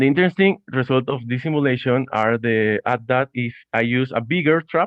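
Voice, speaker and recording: Speaking with a Spanish accent, a man uses a medium pitch, ordinary pitch variation and a fairly slow pace. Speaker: student presenter. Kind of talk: conference talk. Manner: halting.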